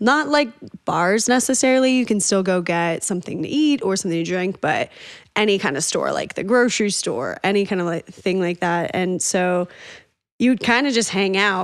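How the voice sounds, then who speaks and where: A woman speaks at a moderate pace with an American accent. Hers is a plain, everyday voice at a medium pitch. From Northern Colorado. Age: 30s. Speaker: singer-songwriter. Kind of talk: casual interview chat.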